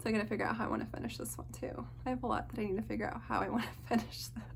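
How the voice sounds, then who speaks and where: Audible room echo surrounds a woman as she talks. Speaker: cross-stitch video creator. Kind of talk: casual show-and-tell monologue. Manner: fast.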